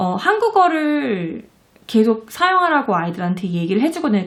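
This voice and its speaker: A woman with a fairly high voice speaks, her pitch swinging very widely. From South Korea. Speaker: parenting and education vlogger, mother. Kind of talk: casual talk to camera. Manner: hesitant, many fillers and restarts.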